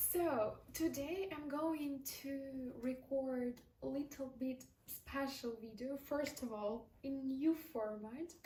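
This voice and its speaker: A woman speaks very slowly with a non-native accent. Her voice is high-pitched with a dark, mellow tone and ordinary pitch variation. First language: not English. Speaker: vlogger. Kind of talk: casual monologue. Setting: talking to a mirror on camera. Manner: unscripted, with fillers.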